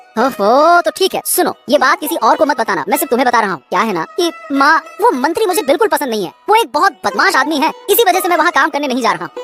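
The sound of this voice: A cartoonish character voice at a very fast pace, with faint music in the background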